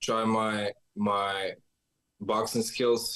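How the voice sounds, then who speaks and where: A man speaks with a Macedonian accent. His pitch is fairly low. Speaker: bare knuckle fighter. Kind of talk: interview answers. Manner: halting.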